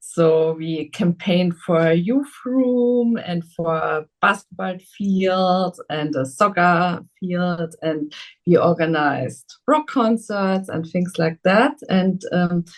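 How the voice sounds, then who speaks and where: A woman's fairly low voice in a German accent, very slow, with lively intonation. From Germany, Saarland. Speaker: politician. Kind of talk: interview. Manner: halting.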